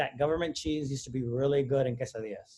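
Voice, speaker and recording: The speaker is a man. He keeps his intonation fairly even. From Texas, San Antonio west side. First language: Spanish. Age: 40s. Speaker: academic speaker. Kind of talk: presentation.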